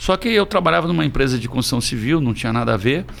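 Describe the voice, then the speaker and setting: Here is a man with a plain, everyday voice at medium pitch. His intonation is lively. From Presidente Prudente, São Paulo state, Brazil. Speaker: restaurant and bar business owner. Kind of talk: casual interview.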